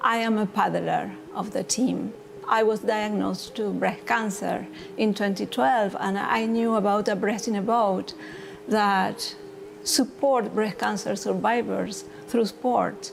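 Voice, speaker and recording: The pace here is fairly slow. A woman talks with a Spanish accent. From Argentina. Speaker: breast cancer survivor paddler. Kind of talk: testimony.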